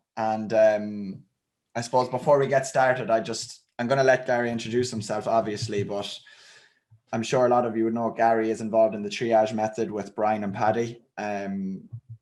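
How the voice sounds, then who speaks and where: The delivery is monotone, with flat intonation. It moves at a moderate pace. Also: man, medium pitch for a man. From Ireland, County Roscommon. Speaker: fitness channel host. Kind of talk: interview.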